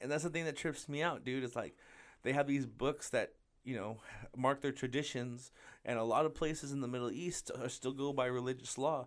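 The recording is very clean with a silent background, and a man speaks in a normal speaking voice at a medium pitch. His pace is fairly quick and his intonation fairly even. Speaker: podcast co-host and stand-up comedian. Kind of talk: casual banter, comedy podcast chat.

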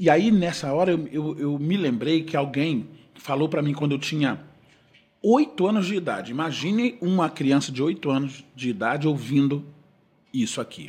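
At a moderate pace, a man talks in a somewhat breathy voice whose pitch varies in an ordinary way. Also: fairly high pitch for a man. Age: 50s. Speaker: gospel singer. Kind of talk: casual chat.

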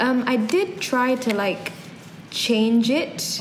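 A woman speaks in a high voice. Background noise is noticeable, and room echo can be heard. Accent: London. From London, England. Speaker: podcast co-host. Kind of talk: casual chat.

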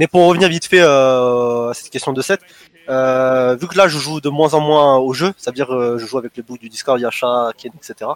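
This is a man with an ordinary speaking voice, medium pitch and ordinary pitch variation, going at a fairly slow pace with hardly any pauses. His loudness swings widely, and the sound is dry and close with no echo. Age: 20s. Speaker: competitive gamer. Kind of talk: casual interview.

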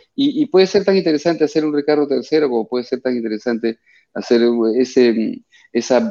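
A man's dark, mellow voice at medium pitch, with ordinary pitch variation, a moderate pace and a quiet background. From Peru. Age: 50s. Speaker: actor. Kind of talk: radio interview. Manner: halting, repeats words.

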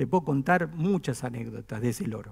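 A man speaks at a fairly slow pace in a fairly high pitched voice with vocal fry and ordinary pitch variation. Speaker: pastor. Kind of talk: sermon. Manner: conversational, with humor.

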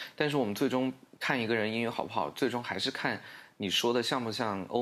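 This man has a medium pitch and ordinary pitch variation. He talks at a moderate pace. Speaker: English-teaching social media creator. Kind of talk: casual interview chat.

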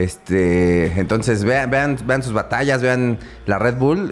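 Using a normal speaking voice, a man talks at a fairly slow pace with ordinary pitch variation. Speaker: podcast host. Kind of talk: casual interview. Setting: live-streamed podcast.

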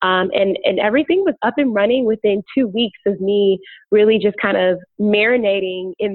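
Using a normal speaking voice, a woman with an American accent talks at a moderate pace, medium in pitch with ordinary pitch variation. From Chicago. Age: 20s. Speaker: podcaster. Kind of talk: interview.

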